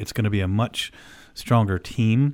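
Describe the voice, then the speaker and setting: An ordinary speaking voice from a man with an American accent, fairly quick in pace with fairly even intonation. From Oklahoma and Illinois. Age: 50s. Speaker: orthopedic surgeon and radio host. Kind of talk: casual radio monologue.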